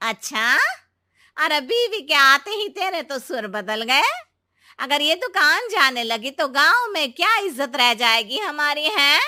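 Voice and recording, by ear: In a cartoonish character voice, a woman with a high pitch and a bright, sharp tone speaks at a fairly slow pace with big pitch swings.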